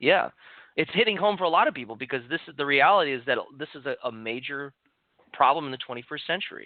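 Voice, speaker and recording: A man talks at a very fast pace in a fairly high voice with lively intonation. His loudness swings a lot from moment to moment. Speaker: clinical nutritionist. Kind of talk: podcast interview.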